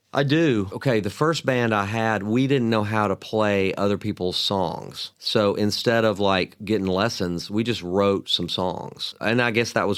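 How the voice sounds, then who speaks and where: Fairly low male pitch with ordinary variation, a Southern US accent and a moderate pace, on a very clean recording with a silent background. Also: hardly any pauses. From US South, Mobile, Alabama. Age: 60s. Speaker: songwriter and guitarist. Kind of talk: interview conversation. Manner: casual, animated storytelling.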